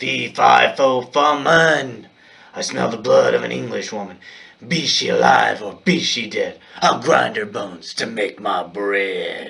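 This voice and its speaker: In a put-on character voice, a man bellows in a booming, menacing tone at a fairly slow pace. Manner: bellowing, menacing.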